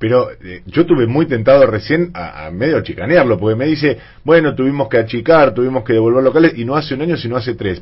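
Somewhat breathy, a man with a medium pitch talks at a fairly quick pace with hardly any pauses. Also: big swings in loudness. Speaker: radio host. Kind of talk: radio talk show.

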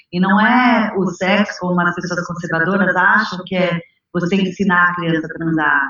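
Using an unremarkable speaking voice, a woman talks at a moderate pace with a fairly low pitch and fairly even intonation. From São Paulo, Brazil. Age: 30s. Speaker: activist and author. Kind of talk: interview conversation.

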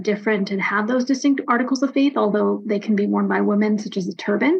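In an American accent, a woman speaks at a fairly high pitch, sounding somewhat breathy. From US East Coast (DC area, New Jersey). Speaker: nonprofit executive director. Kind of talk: interview.

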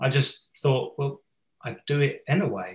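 A man with an English accent speaks in a somewhat breathy voice. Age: 40s. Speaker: teacher and performance coach. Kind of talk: casual interview.

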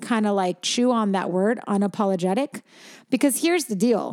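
In a very clean recording with a silent background and a dry, close sound with no echo, a woman with an unremarkable speaking voice talks at a moderate pace, her fairly high pitch showing ordinary variation. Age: 40s. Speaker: podcast co-host and parent. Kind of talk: casual chat.

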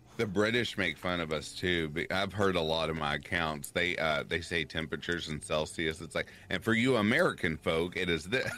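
A man with a Kentucky accent and a very deep, low pitch, bright, sharp in tone, at a fairly quick pace with hardly any pauses and ordinary pitch variation. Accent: Kentucky Southern US. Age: 30s. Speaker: horror story narrator. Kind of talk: casual chat. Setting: live stream.

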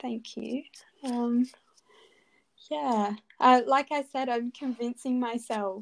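Speaking with an Australian accent, a woman talks at a very slow pace with long, frequent pauses, high pitch and ordinary pitch variation. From Adelaide, Australia. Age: 20s. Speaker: dental student. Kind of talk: interview.

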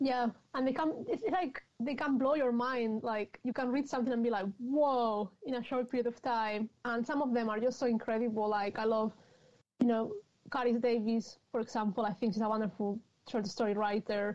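In a Spanish accent, a woman talks at a moderate pace, her pitch fairly high with ordinary variation. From Spain, Madrid. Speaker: novelist. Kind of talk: interview.

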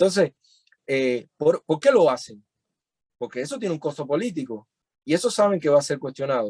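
A man with a fairly high pitch and a dark, mellow tone speaks with lively intonation at a fairly quick pace, leaving long, frequent pauses. The sound is dry and close, with no echo. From Cuba (Cienfuegos, later Havana). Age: 30s. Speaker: musician and activist. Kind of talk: interview. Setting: video call.

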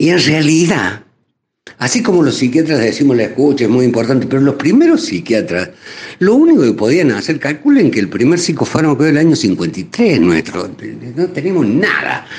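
A man's fairly high voice, very even in loudness but with very wide pitch swings. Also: moderate pace. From Argentina, Córdoba. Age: 60s. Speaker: psychiatrist. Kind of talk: radio interview.

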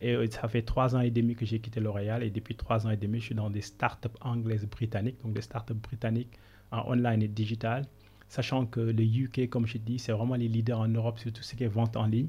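A man speaks at a fairly quick pace in a medium pitch, his somewhat breathy voice dark and mellow in tone but flat and monotone in intonation, on a very clean recording with a silent background. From Senegal. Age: 30s. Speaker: business consultant. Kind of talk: interview.

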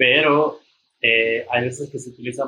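A man's medium-pitched voice with fairly even intonation, at a very slow pace. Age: 30s. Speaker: temazcal leader and traditional healer. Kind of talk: casual chat.

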